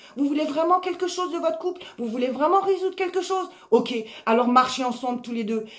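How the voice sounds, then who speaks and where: A loud woman with lively intonation at a moderate pace, over noticeable background noise. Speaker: life coach. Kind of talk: motivational talk.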